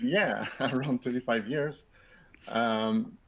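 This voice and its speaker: A man's medium-pitched voice with a French Canadian accent, lively intonation and a fairly slow pace. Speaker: software company co-founder. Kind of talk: webinar presentation. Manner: halting, many repetitions.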